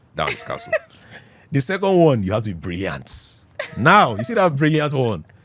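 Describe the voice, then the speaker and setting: At a fairly quick pace, a man talks at a medium pitch with very wide pitch swings. Background noise is noticeable. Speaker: TV presenter. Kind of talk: interview. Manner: animated.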